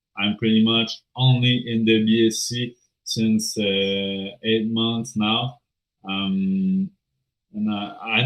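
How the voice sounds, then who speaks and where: Someone with a strong French accent talks at a very slow pace with fairly even intonation. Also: man. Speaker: crypto project team member. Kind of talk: AMA interview. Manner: halting, many filler sounds.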